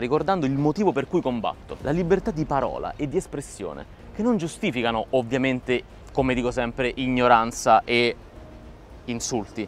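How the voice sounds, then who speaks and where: A man at a fairly quick pace, dry sound with no echo, and light background noise. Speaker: comedian vlogger. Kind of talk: casual vlog chat, impassioned monologue. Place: waterside. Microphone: lapel.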